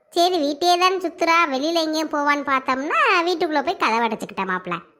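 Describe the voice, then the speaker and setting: A woman puts on a squeaky, cartoonish character voice at a high pitch. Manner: rambling, colloquial Tamil.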